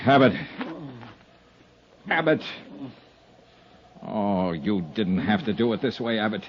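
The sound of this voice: A man puts on a character voice, fairly low-pitched with a slightly husky edge, speaking at a slow pace with lively intonation.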